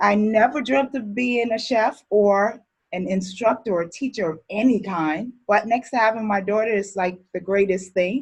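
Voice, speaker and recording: A somewhat breathy woman's voice at fairly high pitch and a moderate pace. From born in Barbados, grew up in Brooklyn, New York. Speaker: chef instructor. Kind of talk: online class introduction.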